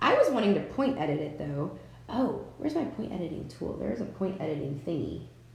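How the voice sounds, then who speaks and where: There is audible room echo as a woman speaks at a fairly quick pace. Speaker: craft software tutor. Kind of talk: live-stream tutorial. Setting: live stream with chat. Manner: casual, chatty. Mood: relaxed, encouraging. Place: home room. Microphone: webcam.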